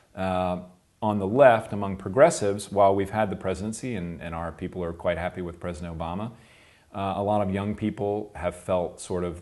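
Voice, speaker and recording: Speaking at a fairly quick pace with an American accent, a man with a very deep, low voice shows ordinary pitch variation over a quiet background. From US South, South Carolina. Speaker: political campaign consultant. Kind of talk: interview. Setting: recorded interview in Göttingen. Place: office.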